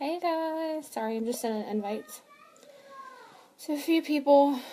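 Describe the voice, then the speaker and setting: Over noticeable background noise, a woman talks at a moderate pace in a high voice. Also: ordinary pitch variation. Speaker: vlogger. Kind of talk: casual chat. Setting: live video stream. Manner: hesitant, many fillers.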